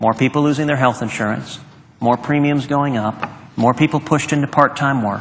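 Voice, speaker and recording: A man delivers his words with ordinary pitch variation, at a moderate speed. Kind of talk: political speech. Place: hall.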